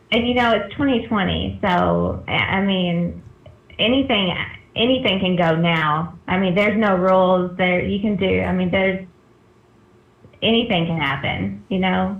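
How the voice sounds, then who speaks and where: A woman's somewhat breathy, medium-pitched voice at a fairly slow pace, with ordinary pitch variation and audible room echo. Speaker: spiritual guest. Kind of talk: casual chat. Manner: calm.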